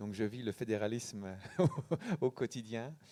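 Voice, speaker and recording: A man's voice at a fairly slow pace, ordinary pitch variation, very clean recording with a silent background. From Switzerland, canton of Neuchâtel. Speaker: think tank director. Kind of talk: panel discussion. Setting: public event with audience.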